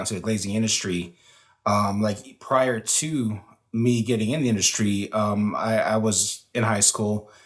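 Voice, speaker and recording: In an American accent, a man speaks at a fairly slow pace. He has a medium pitch and a normal speaking voice. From Denver, Colorado. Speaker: glazier, guest. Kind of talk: interview conversation.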